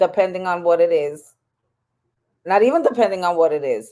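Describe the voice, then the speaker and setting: On a very clean recording with a silent background, a woman with a fairly low pitch speaks at a fairly quick pace. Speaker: podcast co-host. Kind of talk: casual chat. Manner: calm, unemotional delivery.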